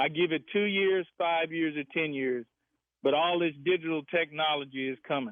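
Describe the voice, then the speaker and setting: A man speaks in a normal speaking voice, his pitch fairly high with ordinary pitch variation. His pace is moderate. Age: 60s. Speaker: caller. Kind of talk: radio call-in.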